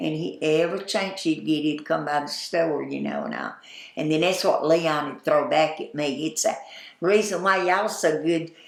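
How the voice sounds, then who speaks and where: The tone is animated, at a moderate pace. Pitch varies in an ordinary way over noticeable background noise. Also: woman, very deep, low pitch for a woman. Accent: American. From US South, Atlanta, Georgia. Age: 80s. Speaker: oral history interviewee, former store owner. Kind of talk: oral history interview. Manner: animated storytelling.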